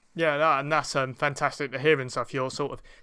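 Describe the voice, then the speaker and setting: A man's bright, sharp voice at a medium pitch, monotone and flat, in a very clean recording with a silent background. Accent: London. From East London. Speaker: podcast host. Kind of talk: interview. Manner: hesitant, many fillers.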